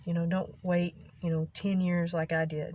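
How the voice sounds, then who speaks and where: A woman with a Texas accent speaks at a moderate pace. Her voice is somewhat breathy, with monotone, flat intonation. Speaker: vlogger. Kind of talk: casual vlog monologue. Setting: in a car in a parking lot. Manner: halting, occasional stutter-like vocal tic.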